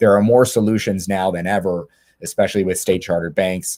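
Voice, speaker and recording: The man's voice sits very deep and low. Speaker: panelist on legal aspects of cannabis industry. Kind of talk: webinar presentation. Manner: fast; halting, many fillers and repetitions.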